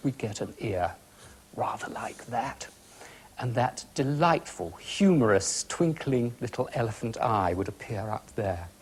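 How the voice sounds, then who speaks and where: A man's voice with very wide pitch swings, at a moderate pace. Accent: British. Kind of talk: instructional art demonstration on a children's TV show. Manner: calm, gentle, friendly.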